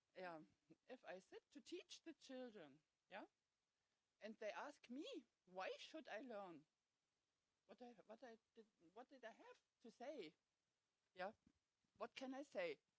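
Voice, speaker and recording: A woman with a non-native accent speaks at a fairly slow pace, her fairly high pitch swinging very widely. Long, frequent pauses break up her speech, and the sound is dry and close with no echo. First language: not English. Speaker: home educating parent. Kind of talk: audience comment. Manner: halting.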